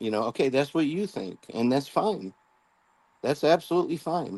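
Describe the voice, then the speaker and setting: This is an unremarkable speaking voice at a moderate pace. Its intonation is lively. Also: man. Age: 60s. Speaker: law enforcement officer. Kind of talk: casual chat.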